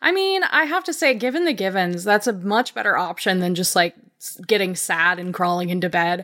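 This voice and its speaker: A plain, everyday voice runs on with hardly any pauses in a very clean recording with a silent background. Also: woman, medium pitch for a woman, lively intonation. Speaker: podcast co-host, editor. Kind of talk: casual chat. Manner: laughs often.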